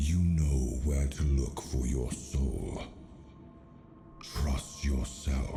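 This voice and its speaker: A man in a put-on character voice over clear background noise. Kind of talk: epic fantasy voice acting. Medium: virtual streamer. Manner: solemn, archaic.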